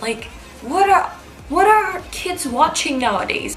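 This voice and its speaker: A woman speaks at a fairly slow pace in an animated tone, her pitch swinging very widely. Room echo is audible and background noise is noticeable. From Cyprus. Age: young. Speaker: beauty YouTuber. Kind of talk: casual Q&A vlog.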